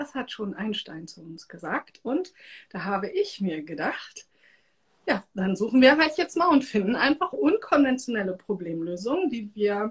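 Her voice fairly high and somewhat breathy, a woman speaks in an animated tone with very wide pitch swings. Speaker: podcast host and energy work coach. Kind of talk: casual live-stream interview.

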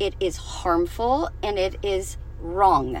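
Noticeable background noise sits under the recording. A woman speaks at a very slow pace. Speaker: podcast host and anti-bullying advocate. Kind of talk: angry rant. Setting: solo podcast recording. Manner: indignant, sarcastic and scornful.

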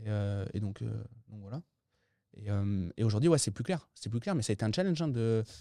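The voice has a dark, mellow tone and lively intonation, moving at a moderate pace with long, frequent pauses in a very clean recording with a silent background. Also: man, fairly low pitch for a man. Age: 30s. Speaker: entrepreneur and real estate investor. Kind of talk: interview.

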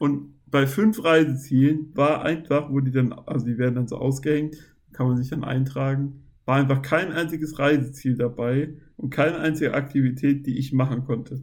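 At a moderate pace, a man with a normal speaking voice talks with fairly even intonation. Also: fairly high pitch for a man. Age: 20s. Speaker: podcast guest with muscular dystrophy. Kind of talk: casual chat.

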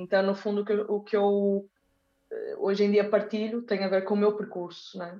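A woman at medium pitch talks at a moderate pace in an ordinary speaking voice. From northern Portugal (Porto, Braga). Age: 30s. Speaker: dancer and dance teacher. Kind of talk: casual interview chat.

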